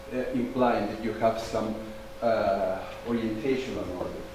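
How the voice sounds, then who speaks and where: Strong room echo surrounds a man talking at a fairly slow pace, with light background noise behind him. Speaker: conference speaker. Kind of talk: lecture. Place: hall.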